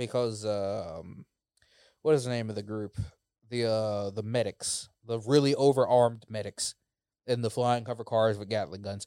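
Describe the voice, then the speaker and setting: A man's medium-pitched, a plain, everyday voice, moderate in pace with fairly even intonation, dry and close with no echo, in a very clean recording with a silent background. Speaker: co-host. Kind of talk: casual chat.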